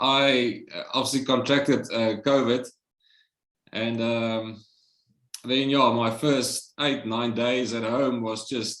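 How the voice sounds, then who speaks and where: With audible room echo, a man speaks at a very slow pace and medium pitch, leaving long, frequent pauses in a monotone, flat intonation. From South Africa. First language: Afrikaans. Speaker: Covid survivor. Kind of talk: interview, personal testimony.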